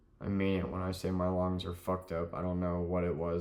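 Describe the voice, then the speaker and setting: Audible room echo follows a man speaking at a moderate pace in a very deep, low pitch. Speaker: rideshare driver. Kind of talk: casual monologue vlog. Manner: halting.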